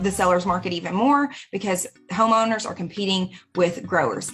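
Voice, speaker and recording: With an American accent, a woman has an unremarkable speaking voice at medium pitch, ordinary pitch variation and a moderate pace. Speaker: real estate broker. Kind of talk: market update monologue.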